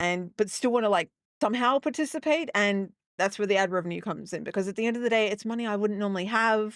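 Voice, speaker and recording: Speaking at a very fast pace, a woman with an Australian accent has a fairly high pitch and ordinary pitch variation. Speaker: gaming streamer. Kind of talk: casual live-stream chat. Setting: live stream. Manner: halting, many fillers.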